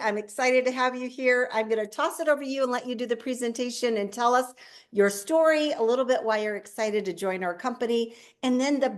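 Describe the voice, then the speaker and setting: A woman with an American accent speaks at a fairly quick pace in a fairly high voice. Her pitch varies in an ordinary way against a quiet background. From northwest Iowa. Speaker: network marketing host. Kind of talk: introduction on a video call. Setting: video call.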